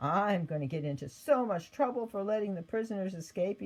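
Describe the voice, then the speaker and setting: A man puts on a character voice at a high pitch, shaky and fairly quick, with lively intonation. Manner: quivering.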